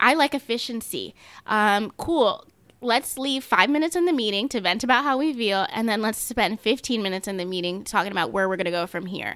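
Fairly quick and lively in intonation, a woman with an American accent speaks at a fairly high pitch. It is a plain, everyday voice, on a very clean recording with a silent background. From US, first-generation American of Nigerian and Jamaican parents. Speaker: young corporate professional. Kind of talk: casual chat. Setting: studio.

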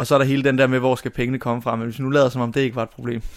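A man's voice at medium pitch. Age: 20s. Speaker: drama student. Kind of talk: interview. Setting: family holiday house.

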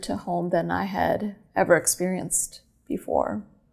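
A woman talks at a fairly slow pace with an American accent. The recording is very clean, with a silent background. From California. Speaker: photographer and filmmaker. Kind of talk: interview.

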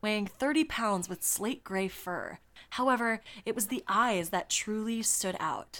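Ordinary pitch variation in reading aloud in a natural voice.

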